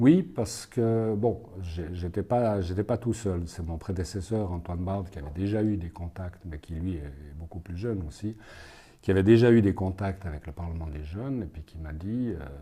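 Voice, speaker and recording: A man speaks at a moderate pace with a very deep, low pitch and a dark, mellow tone. His voice is somewhat breathy, with ordinary pitch variation and big swings in loudness. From Switzerland, Fribourg and Neuchâtel. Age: 60s. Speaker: legal consultant and youth prize juror. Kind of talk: interview answers. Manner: halting, many hesitations.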